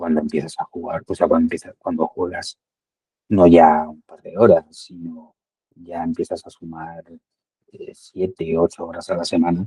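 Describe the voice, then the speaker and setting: At a moderate pace, a man speaks with big swings in loudness in a dry, close sound with no echo. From Spain, Madrid. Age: 60s. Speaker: amateur padel player, client testimonial. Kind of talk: testimony interview. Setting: call. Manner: halting, many fillers and repetitions.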